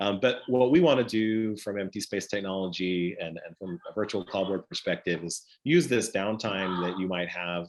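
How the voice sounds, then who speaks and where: An unremarkable speaking voice with an American accent moves at a moderate pace with ordinary pitch variation against a quiet background. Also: man. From United States. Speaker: stage manager and software company presenter. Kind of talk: online conference presentation.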